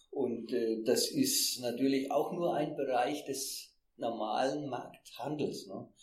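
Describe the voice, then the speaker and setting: At a very slow pace, a man with a fairly high pitch speaks in a fairly even intonation. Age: 60s. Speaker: retired fair trade manager. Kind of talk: interview. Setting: in person. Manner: halting.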